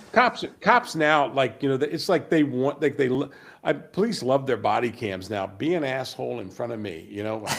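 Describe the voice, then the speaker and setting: A man's medium-pitched voice with vocal fry and lively intonation, at a moderate pace. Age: 60s. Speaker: podcast co-host. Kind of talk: casual political chat. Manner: halting, many restarts.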